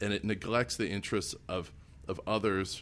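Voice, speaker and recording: Someone with an American accent speaks with ordinary pitch variation in a very clean recording with a silent background. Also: man. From Illinois. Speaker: political candidate. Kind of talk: interview. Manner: halting, with frequent self-corrections.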